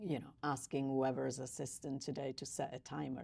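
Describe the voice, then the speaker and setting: The speaker talks at a fairly quick pace in an Italian accent. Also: woman. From Italy. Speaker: podcast host. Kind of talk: interview.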